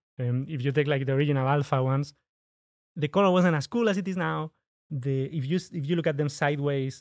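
On a very clean recording with a silent background, a man with a Spanish accent talks at a very fast pace in a fairly high pitch. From Spain. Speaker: startup founder and product designer. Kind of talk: casual interview. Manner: halting, frequent repetitions.

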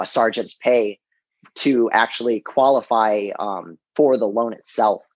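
In a normal speaking voice of medium pitch, a man talks at a fairly slow pace with fairly even intonation. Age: 20s. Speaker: Marine Corps drill instructor, real estate investor. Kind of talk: interview.

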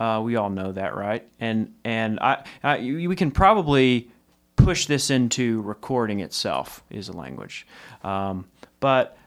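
A man with an American accent is speaking. He talks at a fairly slow pace and medium pitch. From Texas. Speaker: music licensing company co-founder. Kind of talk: casual interview chat. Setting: studio.

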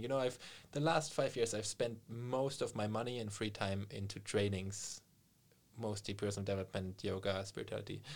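A man with a German accent, fairly low in pitch, at a fairly quick pace. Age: 30s. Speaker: meditation coach and yoga teacher. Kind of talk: casual interview.

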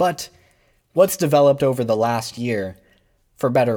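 With an American accent, a man talks at a medium pitch with lively intonation. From New York City. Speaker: podcast host. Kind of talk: solo commentary podcast.

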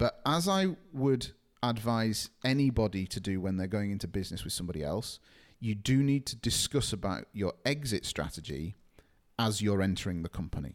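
On a very clean recording with a silent background, a man with an unremarkable speaking voice and a fairly low pitch talks at a moderate pace with lively intonation. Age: 30s. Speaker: SEO agency co-founder. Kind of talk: podcast interview.

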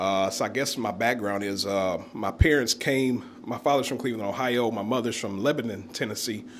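A man's fairly quick delivery, fairly low in pitch, with a fairly bright tone and ordinary pitch variation.

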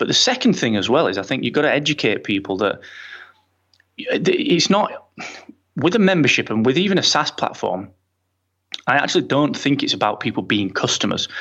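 Against a quiet background, a man with a British accent speaks with long, frequent pauses. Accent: British English, regional. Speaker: entrepreneur and podcaster. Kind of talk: casual interview chat. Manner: friendly, jokey.

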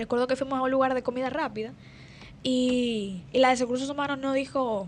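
A woman's high-pitched voice at a fairly quick pace. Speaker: youth motivational speaker. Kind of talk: radio panel discussion. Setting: radio studio.

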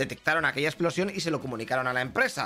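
A man's bright, sharp voice with a Spanish accent at a very fast pace. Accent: Peninsular Spanish. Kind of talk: news report. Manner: brisk, chatty, colloquial delivery with sarcastic, irreverent asides; fast-paced, rattling off headlines one after another.

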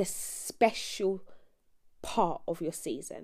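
The voice has a British accent. Its tone is dark and mellow. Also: woman. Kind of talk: casual devotional talk.

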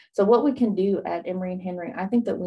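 A woman with an Appalachian accent speaks at a fairly quick pace in a medium pitch. Her tone is dark and mellow. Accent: Appalachian Southern US. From East Tennessee / Southwest Virginia (Appalachia). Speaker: horn player and student success coach. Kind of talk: radio interview.

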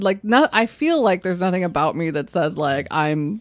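Lively in intonation, a woman speaks with a normal speaking voice and an American accent. Her pitch is medium and her pace moderate. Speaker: podcast co-host. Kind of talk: casual chat.

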